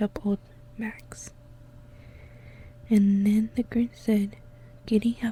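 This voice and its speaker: A soft-spoken whisper moves at a very slow pace. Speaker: ASMR content creator. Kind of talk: ASMR storybook reading. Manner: soft-spoken, whispered.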